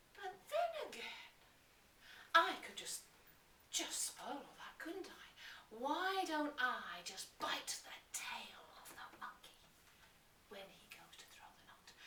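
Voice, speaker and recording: In a put-on character voice, a woman sounds raspy and extremely high, speaking at a fairly slow pace with long, frequent pauses over light background noise. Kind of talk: live storytelling to an audience.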